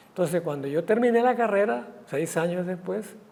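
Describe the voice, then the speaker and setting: A high male voice at a fairly quick pace, with audible room echo. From Costa Rica, Guanacaste. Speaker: writer and physician. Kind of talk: interview conversation.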